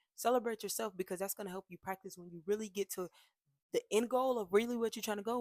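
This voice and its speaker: The sound is dry and close with no echo as a woman with a medium-pitched voice speaks very fast. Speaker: lifestyle vlogger. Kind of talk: motivational talk to camera. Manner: casual, many filler words.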